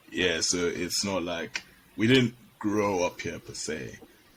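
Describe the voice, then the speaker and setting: Against noticeable background noise, a man speaks at a fairly low pitch with lively intonation. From Nigeria. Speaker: podcast host. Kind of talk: casual chat.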